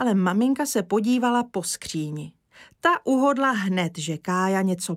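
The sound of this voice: Lively intonation runs through the unforced reading voice. Behind it, things are quiet.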